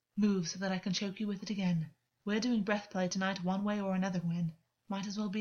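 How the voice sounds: Set against a quiet background, this is a natural reading voice.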